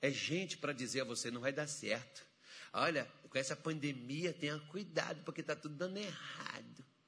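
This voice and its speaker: A man with an animated tone speaks at a moderate pace and fairly high pitch, varying his pitch in an ordinary way. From rural Brazil. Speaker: pastor. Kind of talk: sermon. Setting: church with congregation.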